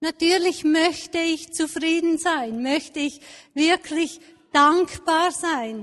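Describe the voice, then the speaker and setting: A woman with a warm tone speaks at an extremely high pitch. Her pace is very slow, with ordinary pitch variation. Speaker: preacher. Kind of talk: sermon with a personal, elderly-life story told tenderly. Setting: church. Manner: warm, reflective, measured.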